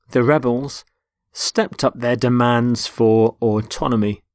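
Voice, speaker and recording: In a British accent, a man talks fairly slowly at a medium pitch with monotone, flat intonation, in a dry, close sound with no echo. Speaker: English teacher. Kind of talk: educational vocabulary lecture. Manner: clear, measured.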